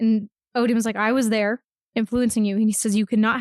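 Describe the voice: Plain reading aloud, the background quiet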